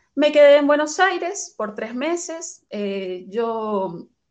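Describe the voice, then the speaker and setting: A woman's pitch swings very widely against a quiet background. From Venezuela, Caracas. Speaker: migrant sharing her story. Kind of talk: interview.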